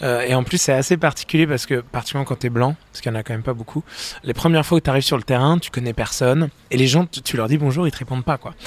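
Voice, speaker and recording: The sound is close and dry, with no echo, as a man rattles off his words extremely fast. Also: medium pitch for a man, fairly even intonation. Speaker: soul singer and musician. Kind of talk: interview. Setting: studio. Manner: halting.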